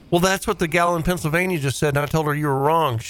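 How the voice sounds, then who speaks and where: A man's voice, fairly high in pitch, carries fairly even intonation. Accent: Southern US. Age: 40s. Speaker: radio host. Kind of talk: call-in show banter. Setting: studio.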